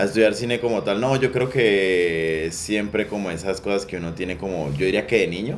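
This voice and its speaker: With audible room echo and noticeable background noise, a man talks at a moderate pace in a fairly low pitch, with ordinary pitch variation and hardly any pauses. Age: 20s. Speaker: sound recordist for film. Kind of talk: interview. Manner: hesitant, many fillers.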